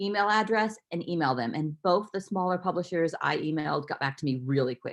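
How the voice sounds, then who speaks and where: Over a quiet background, a woman talks at a fairly quick pace with lively intonation. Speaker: children's librarian. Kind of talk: webinar presentation. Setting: online webinar. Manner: fast.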